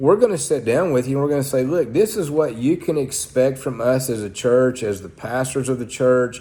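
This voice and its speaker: A man with an Oklahoma accent, a dark, mellow tone and lively intonation. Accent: Oklahoma Southern US. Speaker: pastor. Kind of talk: sermon-style talk to camera. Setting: church. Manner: blunt.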